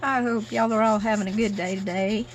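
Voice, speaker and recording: A woman speaks with lively intonation in a Southern US accent. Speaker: paper craft youtuber. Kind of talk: crafting tutorial. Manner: casual, chatty.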